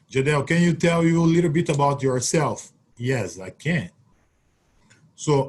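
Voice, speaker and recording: A man with a Brazilian Portuguese accent, fairly high pitch, lively intonation and a somewhat breathy voice. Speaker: Olympic triple jumper. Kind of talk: webinar Q&A.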